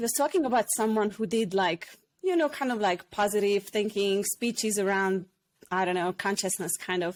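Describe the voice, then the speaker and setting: In a very clean recording with a silent background, a woman with a Hungarian accent speaks at a medium pitch and moderate pace with ordinary pitch variation. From Hungary. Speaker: former hairdresser and personal development facilitator. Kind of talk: podcast interview, personal story.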